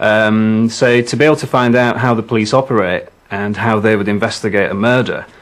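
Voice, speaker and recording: Fairly even intonation from a man with a fairly low pitch at a fairly quick pace. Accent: West Yorkshire. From northern England, Huddersfield, West Yorkshire. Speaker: game show contestant. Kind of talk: interview. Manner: hesitant, with fillers.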